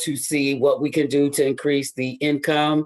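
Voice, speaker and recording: A man speaks at a fairly slow pace with a fairly high pitch. The recording is very clean, with a silent background. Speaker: youth services partner. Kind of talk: meeting presentation.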